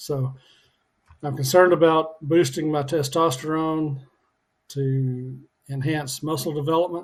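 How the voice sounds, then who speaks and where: Speaking at a fairly slow pace with long, frequent pauses, a man has a somewhat breathy, fairly high voice and monotone, flat intonation. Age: 60s. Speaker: fitness and weight loss vlogger. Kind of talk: casual video diary. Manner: halting with many fillers.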